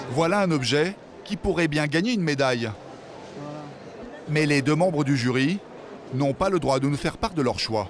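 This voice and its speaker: With long, frequent pauses, a man talks at a moderate pace in a fairly high pitch, his intonation lively and his loudness very even. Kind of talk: documentary narration.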